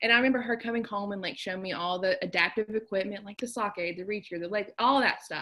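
A woman with an American accent talks very fast, with hardly any pauses, at a medium pitch with ordinary variation. Noticeable background noise is present. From southern West Virginia. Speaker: occupational therapist. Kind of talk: casual chat.

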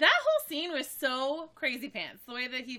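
A high-pitched woman's voice at a moderate pace. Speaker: sports podcast co-host. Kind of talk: casual chat.

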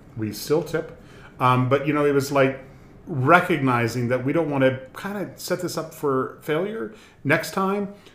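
A man talks at a fairly slow pace in a fairly high pitch with ordinary pitch variation, a plain, everyday voice. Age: 60s. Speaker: community group board member. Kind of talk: casual chat, interview.

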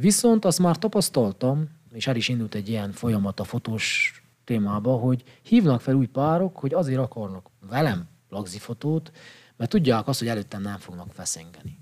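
With an ordinary speaking voice, a man at medium pitch talks at a moderate pace with lively intonation. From Székely Land, Romania (Csíkmadaras). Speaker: psychologist and photographer. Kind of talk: casual chat. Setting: studio.

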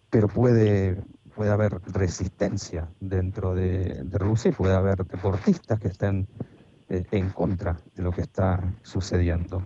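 A man talks in a very deep, low voice with a dark, mellow tone. He sounds somewhat breathy, speaking flat and monotone at a fairly slow pace. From Argentina, Buenos Aires area. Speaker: sport philosopher and historian. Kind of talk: interview. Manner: formal.

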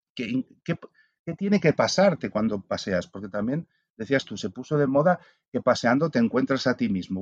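A man talks at a fairly quick pace with very wide pitch swings. The sound is dry and close with no echo, over a quiet background. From Spain. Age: 50s. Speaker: philosopher and author. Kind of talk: casual interview. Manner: halting, many repetitions.

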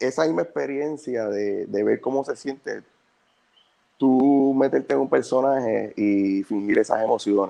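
The man has an ordinary speaking voice, medium in pitch, with typical rises and falls, and he talks at a fairly slow speed. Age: 30s. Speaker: actor. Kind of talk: casual interview.

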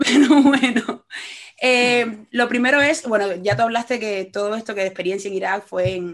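The speaker is a woman. She talks fairly quickly, and her intonation is lively. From Cuba. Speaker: podcast host, journalist. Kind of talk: interview conversation.

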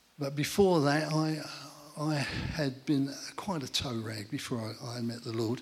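Speaking fairly slowly with an English accent, a man uses a fairly high pitch and ordinary pitch variation. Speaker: church testimony speaker. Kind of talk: testimony. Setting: church gathering with audience.

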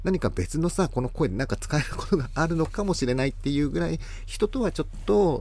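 A man in an unremarkable speaking voice talks at a fairly quick pace with lively intonation. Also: fairly high pitch for a man. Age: 40s. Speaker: florist and podcast host. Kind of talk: casual monologue. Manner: rambling, filler-heavy.

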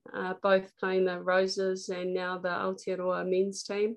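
With a New Zealand accent, a woman talks at a fairly slow pace. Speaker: politician and former athlete. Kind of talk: interview.

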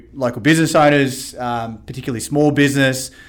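Moving at a fairly quick pace, this man speaks with a fairly high pitch. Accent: Australian. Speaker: podcast host. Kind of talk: casual chat.

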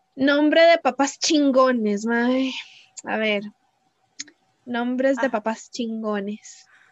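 The recording of a woman talking with ordinary pitch variation is dry and close, with no echo. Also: long, frequent pauses. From Costa Rica, Cartago. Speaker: podcast co-host. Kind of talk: casual chat. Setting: remote recording.

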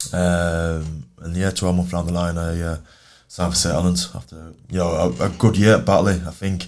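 Speaking with a Yorkshire accent, the voice keeps a moderate pace and fairly even intonation. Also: man, very deep, low pitch for a man. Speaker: professional rugby league player. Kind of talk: casual interview chat. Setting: studio.

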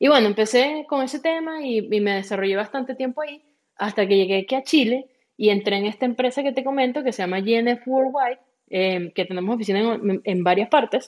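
This woman has an unremarkable speaking voice with fairly high pitch. She talks at a fairly quick pace with ordinary pitch variation. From Venezuela. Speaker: franchise consultant. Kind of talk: interview.

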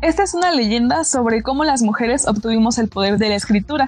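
A woman's fairly high voice, very fast with lively intonation, over music in the background. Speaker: radio host. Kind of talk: poem reading aloud, then conversational hosting. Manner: earnest, declamatory, impassioned.

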